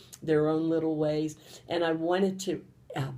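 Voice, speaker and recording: This woman has a very deep, low pitch and a dark, mellow tone. She speaks with a western Pennsylvania accent. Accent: western Pennsylvania American. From Pennsylvania, Johnstown. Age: 70s. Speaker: grandmother. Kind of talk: personal interview testimony.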